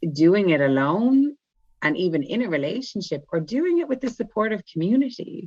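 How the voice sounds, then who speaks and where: A woman's lively intonation in an Irish accent. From Ireland. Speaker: spiritual guide and light language channeler. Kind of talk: casual chat.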